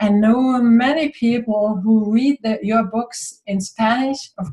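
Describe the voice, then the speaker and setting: Speaking with a German accent, a woman uses a fairly high pitch with ordinary pitch variation. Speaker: spiritual author and interviewer. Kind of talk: interview.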